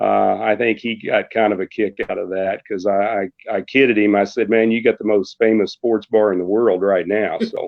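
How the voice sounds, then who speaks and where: A man with an American accent, moderate pace and hardly any pauses. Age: 60s. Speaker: radio sports announcer. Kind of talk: casual chat.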